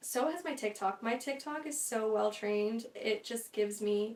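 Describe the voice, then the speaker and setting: Against noticeable background noise, a woman speaks in a fairly high voice with ordinary pitch variation. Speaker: podcast host, content creator. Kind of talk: casual solo chat. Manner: fast; animated.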